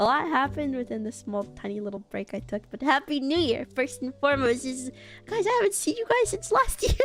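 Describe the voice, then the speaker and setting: A woman talks at a very fast speed, with music playing in the background. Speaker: vtuber streamer. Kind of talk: casual chat. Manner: toned down, less loud than usual.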